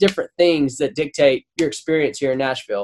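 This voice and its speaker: A man is speaking. He has a Southern US accent. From Louisiana. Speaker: songwriter and producer. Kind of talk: casual interview.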